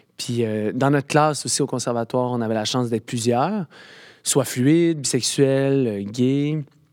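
A man speaks in an unremarkable speaking voice, medium in pitch with ordinary pitch variation. The recording is very clean, with a silent background. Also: moderate pace. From rural Quebec. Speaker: actor. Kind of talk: casual chat.

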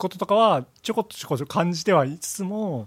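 Somewhat breathy, a man speaks at a very fast pace with very wide pitch swings. The recording is very clean, with a silent background. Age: 40s. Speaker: audio product engineer. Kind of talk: casual chat.

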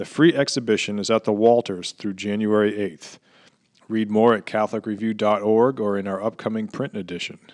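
Over a quiet background, a man with a plain, everyday voice talks at a fairly quick pace in a fairly low pitch. The intonation is fairly even, and the sound is dry and close with no echo. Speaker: news reader. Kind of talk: news reading.

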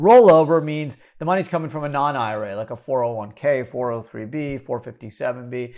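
A plain, everyday voice from a medium-pitched man at a fairly quick pace, with ordinary pitch variation and a very clean recording, silent background. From Canada, Montreal. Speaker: tax attorney and podcast host. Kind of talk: solo Q&A podcast explainer. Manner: casual, with many fillers.

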